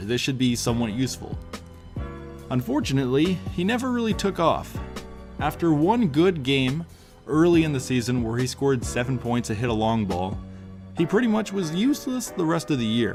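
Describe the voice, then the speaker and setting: A man talks at a fairly quick pace in a medium pitch, his voice swinging very widely up and down, with music playing in the background. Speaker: basketball video narrator. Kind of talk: sports history narration.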